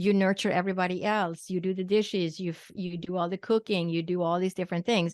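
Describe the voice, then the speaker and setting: An ordinary speaking voice moving at a fairly quick pace. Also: woman. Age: 60s. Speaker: physician and psychic medium. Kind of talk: interview.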